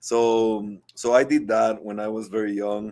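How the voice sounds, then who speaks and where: A man with a Guatemalan accent and a fairly low pitch. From Guatemala (Guatemala City). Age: 40s. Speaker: entrepreneur and former athlete. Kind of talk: interview. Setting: live online show. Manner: halting, many fillers and repeats.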